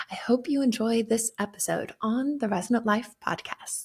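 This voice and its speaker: A woman talks at a moderate pace. Her voice is fairly high-pitched and somewhat breathy. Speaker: podcast host; clinic practitioner.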